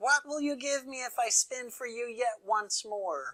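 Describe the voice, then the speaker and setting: A female-sounding put-on character voice, fairly high in pitch, at a moderate pace. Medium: read story. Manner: bargaining.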